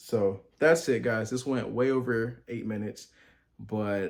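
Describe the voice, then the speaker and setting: A man speaks at a medium pitch. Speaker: medical student youtuber. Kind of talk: casual vlog advice talk. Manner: fast.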